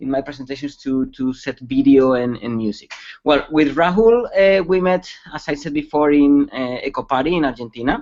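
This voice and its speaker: A man with a Spanish accent. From Spain. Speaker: security expert. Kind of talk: webcast presentation. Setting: online webcast. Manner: halting, many fillers.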